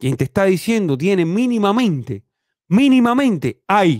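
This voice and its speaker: Speaking at a fairly slow pace, a man uses lively intonation and an animated tone, recorded with a dry sound, no echo and a quiet background. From Cuba. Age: 30s. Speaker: YouTube commentator. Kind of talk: opinion monologue. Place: home room. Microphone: studio mic.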